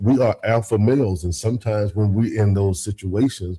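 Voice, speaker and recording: Somewhat breathy, a man speaks at a moderate pace with a dark, mellow tone and a fairly low pitch. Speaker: married man discussing marriage. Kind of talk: radio talk show discussion.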